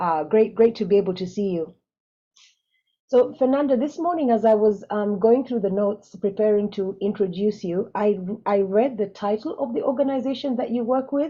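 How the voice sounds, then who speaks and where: A woman with an East African accent speaks at a moderate pace in a fairly high pitch, with ordinary pitch variation. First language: Swahili. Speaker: webinar moderator. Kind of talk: panel moderation.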